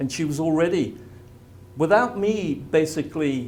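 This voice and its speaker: A somewhat breathy man with an English accent and lively intonation, with audible room echo. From England. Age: 70s. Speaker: spiritual healing presenter. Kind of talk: presentation to a live audience.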